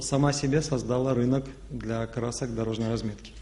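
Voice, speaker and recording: Background noise is clearly audible as a man delivers his words fairly quickly. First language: Russian. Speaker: company executive. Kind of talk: panel discussion.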